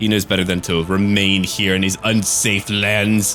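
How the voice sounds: A man's put-on character voice, fairly low and monotone with flat intonation, at a moderate pace over clear music in the background.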